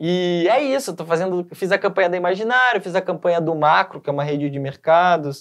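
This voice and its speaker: Pitched high for a man, this speaker talks at a fairly quick pace with hardly any pauses. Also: ordinary pitch variation. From Canoinhas, Santa Catarina, southern Brazil. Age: 30s. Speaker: actor. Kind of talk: interview. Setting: studio.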